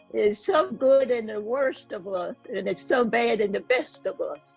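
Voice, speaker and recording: A woman's fairly high-pitched voice over music in the background. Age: 80s+. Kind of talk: interview answer.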